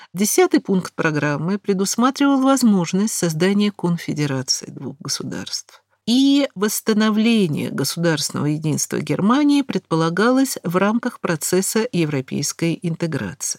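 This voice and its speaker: A woman's medium-pitched voice in a Moscow accent, with very wide pitch swings at a fairly slow pace, dry and close with no echo. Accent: Russian (Moscow). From Moscow, Russia. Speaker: historian lecturer. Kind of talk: lecture. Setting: studio.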